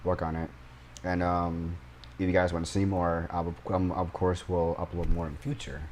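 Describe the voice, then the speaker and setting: A man with a very deep, low pitch. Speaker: youtuber. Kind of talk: casual game commentary. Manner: stuttering; halting, many fillers.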